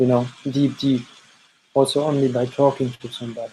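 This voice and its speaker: A man speaks at a moderate pace in a fairly high pitch. His intonation is monotone and flat. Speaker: energy healer. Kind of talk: energy reading session.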